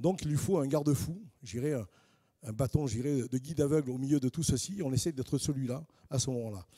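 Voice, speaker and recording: A man speaks in a southern French accent with a dark, mellow tone. His pitch is fairly high, with ordinary variation. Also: dry, close sound with no echo. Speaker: housing finance specialist, panelist. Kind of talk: panel presentation. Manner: hesitant, with frequent fillers and repetitions.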